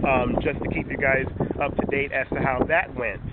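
Loud background noise sits behind a man talking at a fairly quick pace. His sound is dry, with no echo. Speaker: tech reviewer. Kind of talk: casual talk to camera. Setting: outdoors, windy. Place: waterside. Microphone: phone near.

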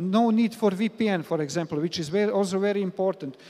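This man has a high pitch and a slightly mellow tone. He moves at a fairly quick pace with ordinary pitch variation.

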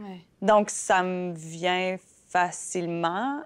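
At a very slow pace, a woman speaks at a medium pitch over a quiet background. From Saskatchewan, Canada (Fransaskois). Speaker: playwright and actress; actor being interviewed. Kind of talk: interview; interview answer. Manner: halting, many fillers and repetitions. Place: meeting room. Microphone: lapel.

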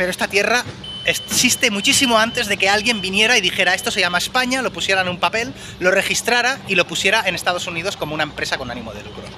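A man talks fast with few pauses, his pitch high and his tone bright and sharp. Faint background noise can be heard. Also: lively intonation.

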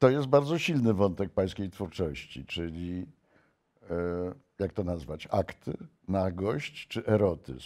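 Against a quiet background, a man speaks very slowly in a very deep, low pitch with a dark, mellow tone and lively intonation. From Poland. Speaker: interviewer. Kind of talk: interview. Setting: video call. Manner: formal. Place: studio. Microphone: lapel.

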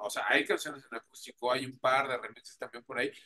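The speaker talks at a fairly quick pace with a Mexican accent and a bright, sharp tone over light background noise. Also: man. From Mexico. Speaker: radio host and interviewer; radio host, interviewer. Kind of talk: casual interview. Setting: remote video call.

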